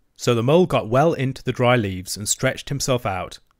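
A natural reading voice moves through ordinary shifts in pitch.

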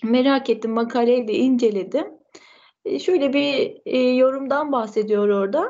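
Pitched high, a woman talks at a fairly slow pace with lively intonation. Her loudness stays very even. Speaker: student. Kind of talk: presentation. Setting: video call. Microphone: video call.

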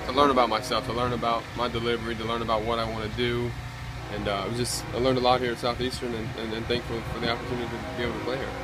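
A man rattles on at a very fast pace with loud background noise around him. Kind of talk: interview answer. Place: stadium. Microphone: phone near.

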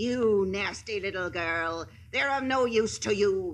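A put-on character voice at a middle pitch, fairly slow pace, quiet background. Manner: spiteful, menacing.

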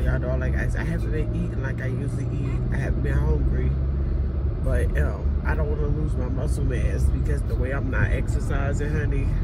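A woman talking at a fairly quick pace amid loud background noise. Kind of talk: casual vlog chat. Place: car. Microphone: phone near.

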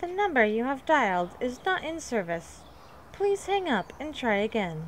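A put-on, robotic, female-sounding character voice, high-pitched with very wide pitch swings, moves at a moderate pace over clear background noise.

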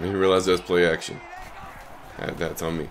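Over faint background noise, a man speaks at a moderate pace in a low voice with little pitch movement.

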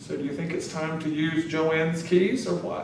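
A man at a fairly high pitch and fairly slow pace, with audible room echo and light background noise. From North Carolina. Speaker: interviewee. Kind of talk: oral history interview. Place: office.

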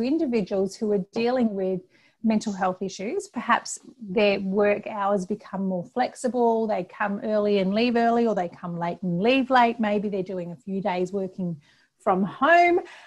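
A somewhat breathy woman over a quiet background. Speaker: presenter. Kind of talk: webinar presentation. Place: home room. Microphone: earbuds.

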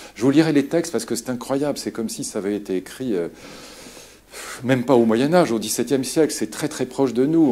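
A man's speech moves along fairly quickly, its pitch varying in an ordinary way. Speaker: lecturer. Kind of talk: lecture. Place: hall.

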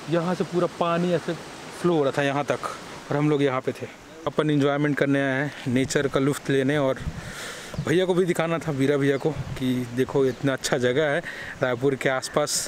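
Very even loudness, fairly even intonation and a moderate pace broken by long, frequent pauses, in a dry sound with no echo over light background noise. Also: man. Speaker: vlogger. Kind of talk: casual vlog chat. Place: waterside. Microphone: phone near.

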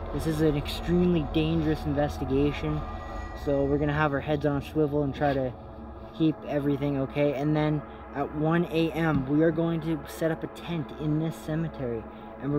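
With monotone, flat intonation, a man speaks at a fairly quick pace in a dry sound with no echo, amid noticeable background noise. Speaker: ghost hunting vlogger. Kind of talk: casual vlog chat. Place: open country. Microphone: handheld.

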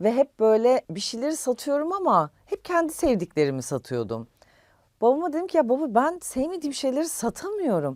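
Her high voice makes very wide pitch swings at a moderate pace. The recording of this woman is very clean, with a silent background. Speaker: influencer. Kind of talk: interview. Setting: studio.

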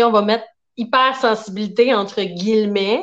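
A woman speaks in a fairly high voice. Her intonation is lively. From Quebec. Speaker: therapist; guest. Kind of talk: interview. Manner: warm. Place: home room. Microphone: video call.

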